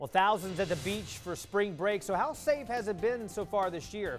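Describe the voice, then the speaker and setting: A man talks at a moderate pace. Behind his voice, music can be heard. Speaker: local TV news anchor. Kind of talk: TV newscast anchor read. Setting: studio.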